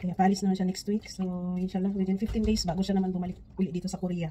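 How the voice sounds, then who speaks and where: A woman with a medium pitch and a dark, mellow tone rushes at a very fast pace, somewhat breathy and monotone, with flat intonation. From Philippines. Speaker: vlogger. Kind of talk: casual vlog talk.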